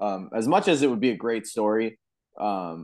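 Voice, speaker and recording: Against a quiet background, a man talks at medium pitch and a fairly slow pace in an ordinary speaking voice. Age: 20s. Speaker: golf podcast co-host. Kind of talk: casual chat.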